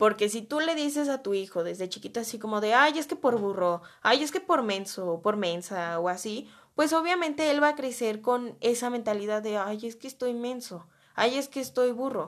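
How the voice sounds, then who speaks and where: Over a quiet background, a woman with a Mexican accent speaks at a moderate pace, her fairly high voice lively in intonation. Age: 20s. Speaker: podcast host. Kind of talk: casual solo podcast monologue.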